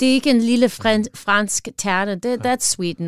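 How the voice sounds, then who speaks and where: In a Midwestern American accent, a woman speaks fairly slowly with ordinary pitch variation, the sound dry and close with no echo. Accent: American (Midwest) accent in Danish. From US Midwest, northern Wisconsin. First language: English (speaking Danish). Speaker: chef and pie shop owner. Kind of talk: casual interview. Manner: halting, many fillers.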